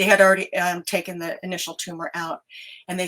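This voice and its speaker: In an American accent, a woman speaks with a medium pitch and a bright, sharp tone. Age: 60s. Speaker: bereaved mother and grief speaker. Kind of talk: testimony. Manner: halting, many fillers.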